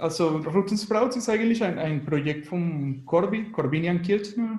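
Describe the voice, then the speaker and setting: With a Spanish accent, a man talks at a fairly slow pace in a high voice, and the room echo is audible. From Venezuela. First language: Spanish (speaking German). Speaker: graphic designer and musician. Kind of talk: radio interview. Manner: halting.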